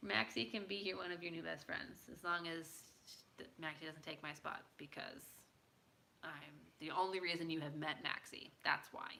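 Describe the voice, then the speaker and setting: Vocal fry runs through a woman's very deep, low pitch and bright, sharp tone. She has an American accent and talks at a moderate pace with ordinary pitch variation. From United States. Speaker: livestreamer. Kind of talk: casual chat.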